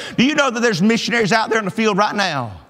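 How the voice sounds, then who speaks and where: A man speaks in a high pitch with an animated tone. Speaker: pastor. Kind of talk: sermon. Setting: church. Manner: animated, exhortative pulpit delivery, pressing the congregation with direct appeals; conversational, homespun, pausing for amens and laughing at his own stories. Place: church.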